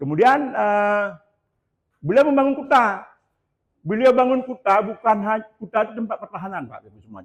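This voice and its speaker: A man with a high pitch leaves long, frequent pauses. His loudness rises and falls in big swings. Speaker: local historian. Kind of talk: lecture. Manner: halting.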